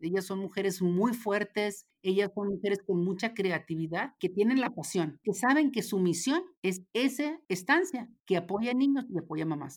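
Over a very clean recording with a silent background, a woman with a normal speaking voice talks at a moderate pace and medium pitch, with lively intonation and hardly any pauses. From Mexico, Ciudad Juárez. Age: 50s. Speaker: former federal legislator. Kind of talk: interview conversation.

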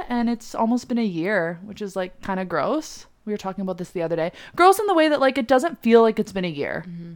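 A woman speaks in a fairly high voice at a fairly quick pace. Her pitch swings very widely. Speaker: podcast guest, host's best friend. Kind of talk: casual chat.

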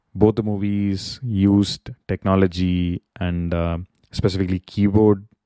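The voice has a dark, mellow tone and a monotone, flat intonation, recorded with a dry, close sound and no echo. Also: man. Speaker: podcaster, tech worker. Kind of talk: solo monologue podcast. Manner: hesitant, frequent fillers.

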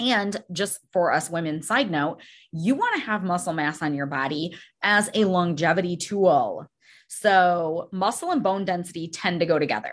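Over a quiet background, a woman with a fairly low voice speaks at a moderate pace with ordinary pitch variation. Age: 40s. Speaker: weight loss coach and podcast host. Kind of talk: casual solo podcast talk. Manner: animated.

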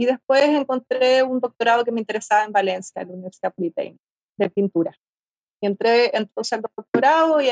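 At a very fast pace and with ordinary pitch variation, the voice comes through in a dry, close sound with no echo. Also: woman. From Argentina, rural Mendoza. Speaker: artist. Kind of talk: interview.

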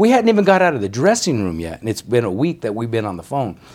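A man speaks with an American accent. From Denver, Colorado. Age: 60s. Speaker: retired boxing referee. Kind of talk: casual interview.

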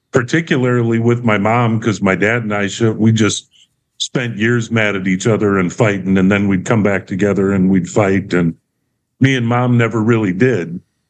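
A man with an ordinary speaking voice talks at medium pitch and a moderate pace, with ordinary pitch variation. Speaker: counseling client. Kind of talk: counseling session.

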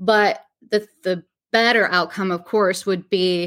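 In a very clean recording with a silent background, a woman with a northern US accent speaks at a medium pitch with fairly even intonation. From New York. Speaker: podcast host, local news reporter. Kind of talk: casual news commentary.

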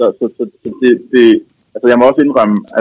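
This man talks at a medium pitch. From Denmark, Copenhagen area. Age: 30s. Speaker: lonely man sharing his story. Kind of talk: phone interview. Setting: phone call. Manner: halting, many repetitions.

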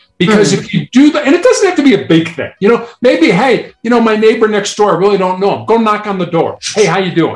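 A man talks at a very fast pace with lively intonation and hardly any pauses. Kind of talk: interview, conversational.

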